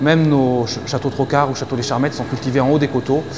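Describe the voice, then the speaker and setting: The speaker is a man. Background noise can be clearly heard. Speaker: winemaker. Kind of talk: interview. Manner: hesitant.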